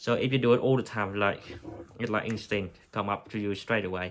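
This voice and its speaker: In a Vietnamese accent, a man speaks at a moderate pace in a fairly low pitch on a very clean recording with a silent background. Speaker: anaesthetic technician. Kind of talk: tutorial. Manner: halting.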